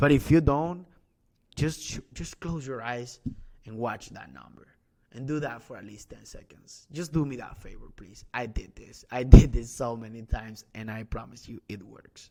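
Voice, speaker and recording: In a dark, mellow tone at a medium pitch, a man speaks with a non-native accent and big swings in loudness. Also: ordinary pitch variation, moderate pace. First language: not English. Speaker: e-commerce coach. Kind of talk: sales pitch. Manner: animated; halting.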